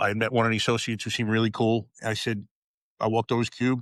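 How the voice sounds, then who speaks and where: Recorded very cleanly against a silent background, the sound is dry and close with no echo. A man talks at a medium pitch with a New York accent. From New York, Long Island. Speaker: retired police officer. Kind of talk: podcast interview.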